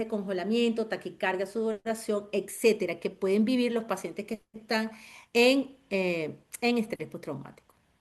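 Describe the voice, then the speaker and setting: At a fairly slow pace, a woman with a plain, everyday voice speaks at a fairly high pitch. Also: quiet background. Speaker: trauma therapist. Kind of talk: webinar lecture.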